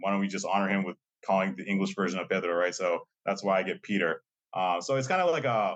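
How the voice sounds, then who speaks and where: A man with a fairly low pitch talks at a very fast pace. His pitch varies in an ordinary way. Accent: Massachusetts. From Lowell, Massachusetts, US; Colombian-American family. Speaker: college diversity administrator. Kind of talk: podcast interview. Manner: casual, many fillers and repetitions.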